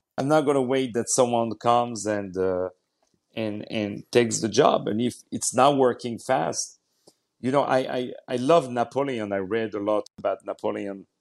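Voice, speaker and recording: He is a man with a French accent, speaking at medium pitch. His pace is moderate and his pitch varies in an ordinary way. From France, Paris. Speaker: opera singer and actor. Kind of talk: interview.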